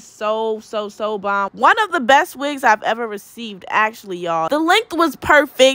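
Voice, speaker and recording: Raised and projected, a woman's bright, sharp voice swings very widely in pitch at a moderate pace, with a dry sound and no echo. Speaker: beauty vlogger. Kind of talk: casual vlog chat. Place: home room. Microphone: camera far.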